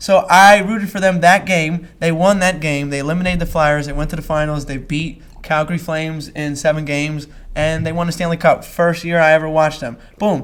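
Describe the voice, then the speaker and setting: A man speaks with a Philadelphia accent at a fairly high pitch. His tone is animated and his pace fairly quick. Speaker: podcast host. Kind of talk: casual chat.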